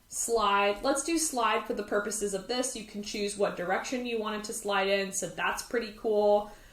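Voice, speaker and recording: A woman at medium pitch and moderate pace, with ordinary pitch variation, amid noticeable background noise and audible room echo. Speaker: design tutorial creator. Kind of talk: tutorial. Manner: animated.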